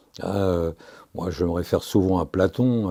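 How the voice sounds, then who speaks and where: A man speaks at a fairly low pitch and a fairly slow pace, in a dark, mellow tone with ordinary pitch variation. The recording is very clean, with a silent background. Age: 70s. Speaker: retired police commissioner. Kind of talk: interview. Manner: hesitant, frequent fillers.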